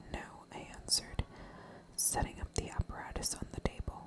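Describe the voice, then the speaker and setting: The speaker whispers at a moderate pace. Noticeable background noise is present. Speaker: ASMR storyteller. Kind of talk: scary story reading. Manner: whispered.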